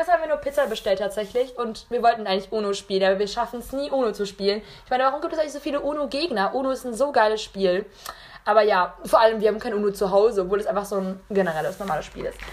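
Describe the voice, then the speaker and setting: Talking at a very fast pace with lively intonation, the speaker sounds animated over noticeable background noise. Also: woman, fairly high pitch for a woman. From Munich, Bavaria. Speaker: podcast host. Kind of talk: casual chat.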